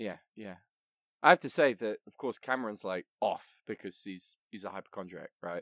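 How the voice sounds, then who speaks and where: In a very clean recording with a silent background and a dry, close sound with no echo, a man uses an ordinary speaking voice at a fairly low pitch and moderate pace, with ordinary pitch variation and big swings in loudness. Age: 20s. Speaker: podcast host. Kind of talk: casual chat.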